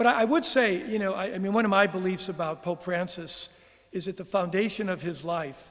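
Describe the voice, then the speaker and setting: Over noticeable background noise, a man talks at a fairly quick pace. His voice is high-pitched with ordinary pitch variation. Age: 70s. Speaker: retreat house director, spiritual speaker. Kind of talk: Q&A after a reflection talk. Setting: church with live audience, also streamed. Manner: halting, with frequent restarts.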